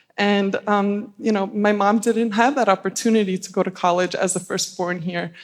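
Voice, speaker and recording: A woman with an Albanian accent speaks at a moderate pace and a medium pitch, her intonation fairly even and her delivery with hardly any pauses, on a very clean recording with a silent background. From US Northeast, Staten Island, New York. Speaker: panelist. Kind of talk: panel discussion.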